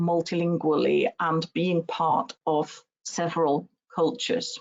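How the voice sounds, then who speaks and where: Speech comes at a fairly slow pace with a German accent against a quiet background. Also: woman. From Germany. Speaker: university researcher. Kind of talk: webinar lecture. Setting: online webinar. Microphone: webcam.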